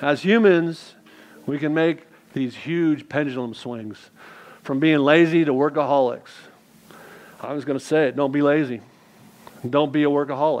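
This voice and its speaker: A man with a fairly high pitch speaks at a moderate pace with fairly even intonation. Long, frequent pauses break up his speech. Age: 50s. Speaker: lay preacher. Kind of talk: sermon. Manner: halting.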